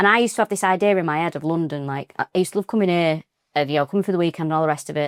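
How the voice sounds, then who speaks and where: A woman with a Mancunian accent at a very fast pace, fairly low in pitch with ordinary pitch variation, on a very clean recording with a silent background and a dry, close sound with no echo. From Manchester, northern England. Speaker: comedian. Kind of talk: casual chat. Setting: living room.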